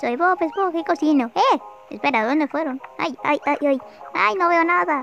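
A cartoonish character voice pitched high. Clear music plays in the background. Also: moderate pace. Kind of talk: comic cartoon dubbing. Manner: flustered, panicky.

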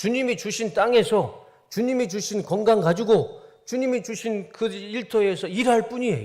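On a very clean recording with a silent background, a man talks in a high voice. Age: 40s. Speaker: pastor. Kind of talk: sermon.

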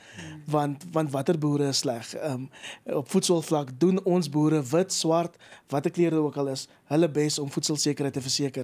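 A man speaks at a fairly high pitch in a dark, mellow tone. His intonation stays fairly even. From South Africa. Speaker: agricultural initiative founder; interview guest. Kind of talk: radio interview. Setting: studio. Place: studio. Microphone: studio mic.

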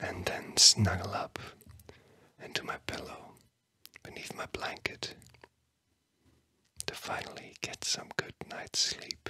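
A man whispers very slowly, with long, frequent pauses. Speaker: ASMR host. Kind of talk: soft guided relaxation whisper. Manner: soft, sleepy ASMR murmur. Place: studio. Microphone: studio mic.

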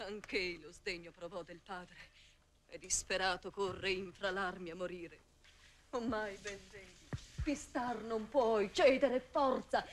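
A woman at a fairly slow pace, lively intonation, light background noise underneath. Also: big swings in loudness. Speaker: stage actress. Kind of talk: 1959 theatrical verse tragedy performance, declaimed. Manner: tender, anguished, pleading, emotional stage delivery. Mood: anxious, pleading. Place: studio. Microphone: old recording.

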